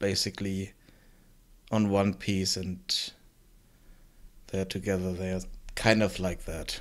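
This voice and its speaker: Over a silent background in a very clean recording, the voice keeps fairly even intonation. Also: man. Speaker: game developer streamer. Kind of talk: live stream tutorial chat. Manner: mumbling at times; halting, filler-heavy.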